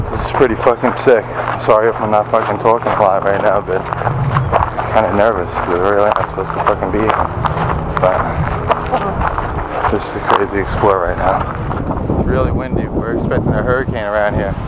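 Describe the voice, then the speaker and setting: Over loud background noise, a man talks at a fairly quick pace with ordinary pitch variation. The sound is dry with no echo. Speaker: urban explorer vlogger. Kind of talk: casual vlog chat. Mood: nervous, excited. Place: open country. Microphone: phone near.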